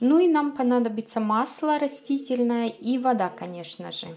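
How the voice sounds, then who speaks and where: Light background noise behind a woman speaking at a fairly slow pace with ordinary pitch variation. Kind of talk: cooking tutorial. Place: kitchen. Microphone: phone near.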